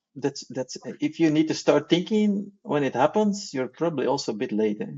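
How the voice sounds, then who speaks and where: Pitched fairly high, a man talks at a fairly quick pace with very wide swings in pitch. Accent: non-native. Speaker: broadband technology engineer. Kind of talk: casual interview chat. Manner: hesitant, many fillers and repeats.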